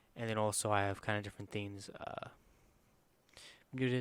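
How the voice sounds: A man speaks quietly at a fairly quick pace. His fairly low voice has a clear, smooth tone.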